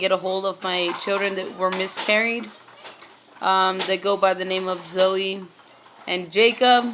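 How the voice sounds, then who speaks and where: With noticeable background noise behind it, the voice carries an American accent and fairly even intonation at a fairly slow pace. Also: woman. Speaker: vlogger. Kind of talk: personal testimony. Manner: halting, many fillers.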